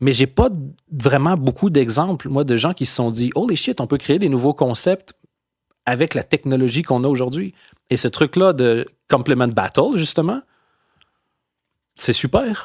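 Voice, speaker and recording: With a Quebec accent, a man talks at a fairly slow pace and a fairly high pitch, pausing long and often, in a dry, close sound with no echo on a very clean recording with a silent background. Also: lively intonation. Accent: Quebec French accent, kept after years abroad. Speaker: comedian. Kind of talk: casual chat. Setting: podcast interview.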